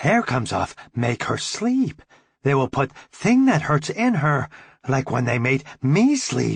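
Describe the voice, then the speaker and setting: Someone speaks at a fairly slow pace in a put-on character voice. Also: man, fairly high pitch for a man. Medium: read story. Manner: simple broken English.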